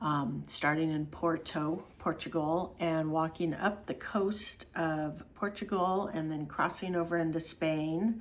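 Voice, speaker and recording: A woman's fairly low voice at a very slow pace, with hardly any pauses. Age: 60s. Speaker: travel vlogger and walking tour organizer. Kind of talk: casual vlog monologue. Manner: casual, with frequent fillers.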